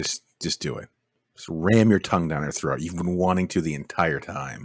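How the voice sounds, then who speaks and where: A man's very deep, low pitch with vocal fry at a moderate pace, on a very clean recording with a silent background. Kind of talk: casual commentary over a video, riffing jokes.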